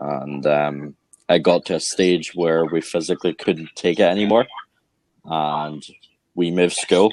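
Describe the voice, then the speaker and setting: Very deep and low, a man's voice moves at a fairly slow pace with long, frequent pauses. His intonation is fairly even, on a very clean recording with a silent background. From Scotland, Falkirk; later Northern Ireland. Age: 20s. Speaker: actor. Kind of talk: interview.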